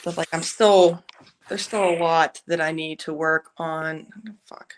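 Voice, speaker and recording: The delivery is monotone and flat, with a dry, close sound and no echo. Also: woman, fairly low pitch for a woman, fairly slow pace, big swings in loudness. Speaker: podcast co-host. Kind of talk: casual chat. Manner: loud.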